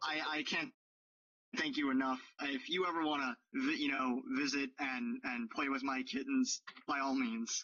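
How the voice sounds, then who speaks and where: In a put-on character voice, a man talks with a raspy sound at a moderate pace. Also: fairly high pitch for a man. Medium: actual play. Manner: gushing, effusive.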